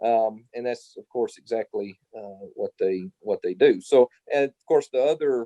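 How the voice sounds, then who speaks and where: The loudness rises and falls sharply at a fairly slow pace, with a dry, close sound and no echo. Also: man. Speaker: historian and professor. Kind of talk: interview Q&A.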